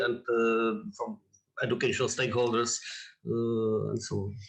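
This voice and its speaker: With a Czech accent, a man talks at a moderate pace with ordinary pitch variation. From Czech Republic. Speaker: audience member. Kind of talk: Q&A question. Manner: halting.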